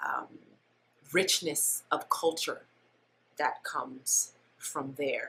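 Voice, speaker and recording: A woman speaks at a very slow pace. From moved around as military child, born New Orleans. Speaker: dancer. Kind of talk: interview conversation. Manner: hesitant, many ums.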